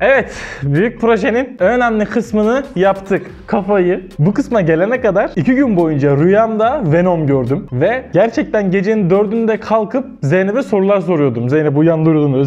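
At a moderate pace and with hardly any pauses, a man talks with lively intonation. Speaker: craft content creator. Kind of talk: casual vlog chat. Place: studio. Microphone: lapel.

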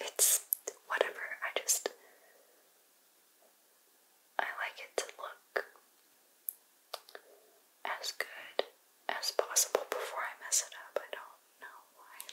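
Soft-spoken and whispering, a woman speaks at a very slow pace with long, frequent pauses. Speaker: ASMR content creator. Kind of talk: soft-spoken makeup tutorial chat. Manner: soft ASMR whisper, close to mic. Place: home room.

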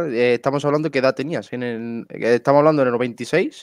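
At a moderate pace, a plain, everyday voice speaks with fairly even intonation, the sound dry with no echo and the background quiet. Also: man. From Spain. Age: 30s. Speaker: podcast host. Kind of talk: interview. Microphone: headset.

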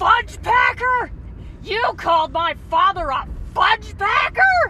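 Someone shouts in a shrill, furious tone at a fairly slow pace with lively intonation. Clear background noise is audible. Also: woman. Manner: furious, shrill, screaming.

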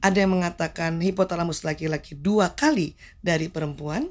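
A woman at a medium pitch talks at a moderate pace in a normal speaking voice. The background is quiet. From Jakarta, Indonesia. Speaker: medical doctor; guest. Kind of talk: interview talk show. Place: studio. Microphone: studio mic.

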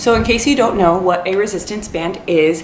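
Amid light background noise and audible room echo, a woman talks at a fairly low pitch with ordinary pitch variation. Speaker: fitness vlogger. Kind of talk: casual vlog tutorial. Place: home room. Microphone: camera far.

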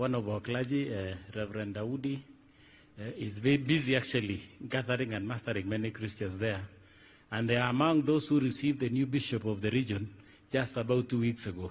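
A man with a Kenyan accent speaks at a medium pitch. His voice is somewhat breathy, with ordinary pitch variation. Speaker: clergy master of ceremonies. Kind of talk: church announcements. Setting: church service with congregation. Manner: halting. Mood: warm, uplifting. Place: tent. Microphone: podium.

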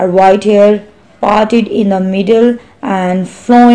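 In a natural voice, someone reads aloud, intonation staying fairly even.

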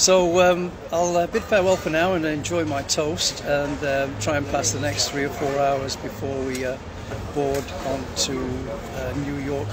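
Loud background noise fills the recording. A man speaks over it at a fairly slow pace. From UK. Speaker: airline pilot vlogger. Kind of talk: casual live video chat. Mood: relaxed, friendly. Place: station. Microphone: phone near.

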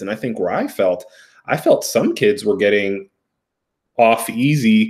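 A man talks with an American accent against a quiet background. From US, Ethiopian American. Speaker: therapist. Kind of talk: casual chat. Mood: reflective, thoughtful.

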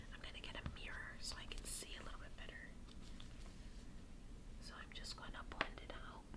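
Loud background noise runs under a woman's voice. She speaks at a fairly quick pace, with long, frequent pauses. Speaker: ASMR creator. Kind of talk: ASMR makeup get-ready-with-me talk. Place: home room. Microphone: phone near.

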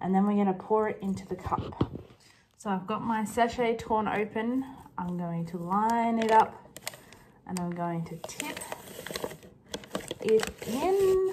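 Pausing often and at length, a woman talks fairly slowly while noticeable noise carries in the background. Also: ordinary pitch variation. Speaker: vlogger. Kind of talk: casual vlog chat. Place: kitchen. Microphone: phone near.

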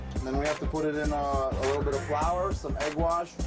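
A man with a New York accent at a moderate pace, clear music in the background. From New York City. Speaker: food truck owner. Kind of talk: interview answer. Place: kitchen.

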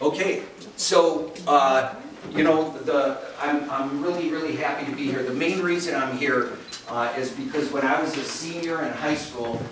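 This man speaks at a moderate pace with fairly even intonation. There is audible room echo and noticeable background noise. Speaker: keynote speaker. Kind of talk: lecture. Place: hall.

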